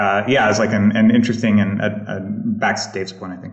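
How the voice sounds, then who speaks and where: Using an ordinary speaking voice, a man talks at a fairly quick pace with a fairly low pitch. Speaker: software engineer. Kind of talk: panel discussion. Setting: home.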